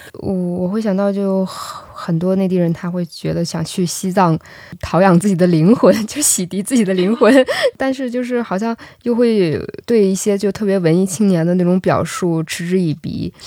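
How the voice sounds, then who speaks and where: A woman speaks in a dark, mellow tone at a medium pitch. Her pace is moderate. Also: ordinary pitch variation. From northeast China. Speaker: podcast host. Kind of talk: interview.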